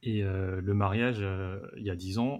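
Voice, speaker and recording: Fairly even intonation from a man at a fairly low pitch. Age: 30s. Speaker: wedding photographer. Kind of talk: casual roundtable chat. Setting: remote video call. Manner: halting, many repetitions.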